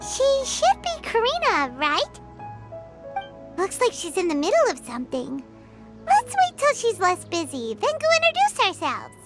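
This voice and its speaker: A put-on character voice at an extremely high pitch, moderate pace, long and frequent pauses, and clear background music. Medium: video game. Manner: bubbly, exclamatory.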